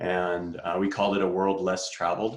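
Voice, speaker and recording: A man with an American accent, very deep and low in pitch, with fairly even intonation. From Boston, Massachusetts. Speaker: climbing coach. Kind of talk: online clinic presentation.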